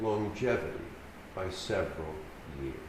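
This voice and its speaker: The speaker has an American accent. Audible room echo surrounds the voice. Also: man. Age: 70s. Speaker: keynote speaker, paraplegic rehabilitation advocate. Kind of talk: keynote speech. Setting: conference stage with audience. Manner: formal.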